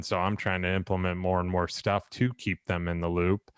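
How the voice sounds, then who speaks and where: The man's very deep, low voice stays monotone and flat at a moderate pace, with a dry, close sound and no echo. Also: quiet background. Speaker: builder and podcast host. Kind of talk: casual podcast conversation.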